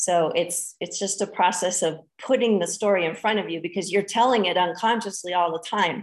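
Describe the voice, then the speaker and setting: This woman has an unremarkable speaking voice at a medium pitch. She talks at a fairly quick pace with hardly any pauses. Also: fairly even intonation. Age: 40s. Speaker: spiritual teacher. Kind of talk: interview.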